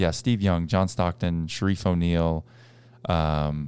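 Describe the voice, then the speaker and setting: A man speaks with a very deep, low pitch and a dark, mellow tone, keeping his intonation fairly even. The recording is very clean, with a silent background. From US Northeast (Boston). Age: 20s. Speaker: former pro basketball player and podcast host. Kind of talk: casual chat.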